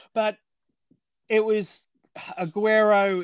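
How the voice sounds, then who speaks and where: On a very clean recording with a silent background, a man's voice comes across dry and close, with no echo. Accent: Australian. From Australia. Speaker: former amateur cricketer. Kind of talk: casual chat.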